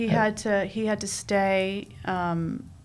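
With audible room echo, a woman with an American accent talks in a monotone, flat intonation. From New York, Queens. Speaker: dance mom, reality TV cast member. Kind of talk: casual chat.

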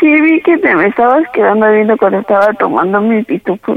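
A woman speaks at a very fast pace with a fairly high pitch. Her pitch swings very widely. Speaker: prank call target. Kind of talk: phone conversation. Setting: phone call.

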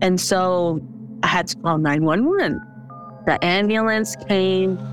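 Music runs in the background as a woman speaks at medium pitch with lively intonation. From Hawaii, Arkansas. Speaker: COVID survivor. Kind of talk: personal testimony.

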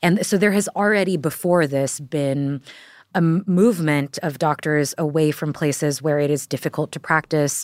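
A woman with an American accent speaks at a moderate pace, her pitch very deep and low for a woman. Her pitch variation is ordinary, on a very clean recording with a silent background. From Texas. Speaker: journalist. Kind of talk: casual chat. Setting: studio.

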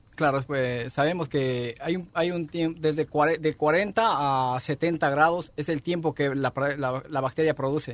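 A man in an ordinary speaking voice at a fairly slow pace, with fairly even intonation and hardly any pauses. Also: fairly high pitch for a man. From Ecuador. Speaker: restaurant chef. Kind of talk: interview explaining dishes.

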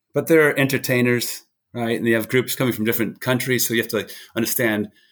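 A man with an American accent at a very fast pace, monotone and flat in intonation, on a very clean recording with a silent background. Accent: slight British twinge on New England. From New Hampshire, US. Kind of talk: casual interview.

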